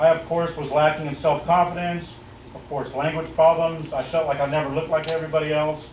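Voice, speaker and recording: Noticeable background noise sits under speech that moves at a fairly quick pace with big swings in loudness. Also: man, fairly high pitch for a man. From German-American military family. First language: German. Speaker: martial arts instructor. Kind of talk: motivational speech at awards ceremony. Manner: animated.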